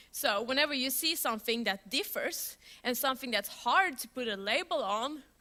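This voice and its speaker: A woman with a high pitch and a bright, sharp tone speaks in a raised, projected voice at a moderate pace, with an animated tone and lively intonation. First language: Swedish. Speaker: software developer, conference speaker. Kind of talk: conference talk. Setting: stage with audience. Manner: loud.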